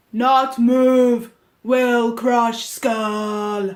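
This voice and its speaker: In a put-on character voice, the speaker talks at a fairly high pitch. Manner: gruff, menacing.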